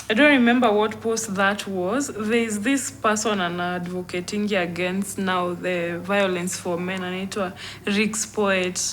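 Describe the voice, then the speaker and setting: At a fairly slow pace and with hardly any pauses, a woman of medium pitch keeps a fairly even intonation amid audible room echo. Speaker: therapist. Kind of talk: casual chat. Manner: soft-spoken; code-switching English and Swahili.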